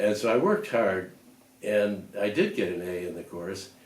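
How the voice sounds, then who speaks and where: This man speaks with an American accent at a fairly low pitch, and the room echo is audible. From US Midwest, Lakewood, Ohio. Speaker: retiree reminiscing. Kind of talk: oral history interview. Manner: halting, with frequent fillers.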